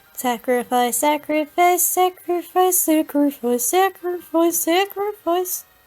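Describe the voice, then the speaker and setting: Over faint music in the background, a woman performs a put-on character voice at an extremely high pitch. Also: fairly slow pace. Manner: spooky.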